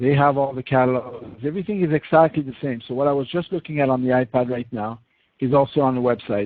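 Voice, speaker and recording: A man's fairly high voice at a very fast pace with ordinary pitch variation. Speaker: software product demonstrator. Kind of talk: webinar product demo. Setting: online webinar.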